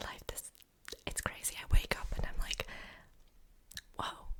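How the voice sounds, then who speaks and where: Whispering, a woman talks at a moderate pace. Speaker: ASMR creator and author. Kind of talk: ASMR whispered rambling. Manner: whispered, soft.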